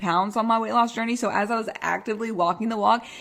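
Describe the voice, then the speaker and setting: A woman with an American accent speaks in an animated tone with ordinary pitch variation. Noticeable background noise is present. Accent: Texas accent, strong today. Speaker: health and weight loss coach, podcast host. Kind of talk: casual podcast monologue.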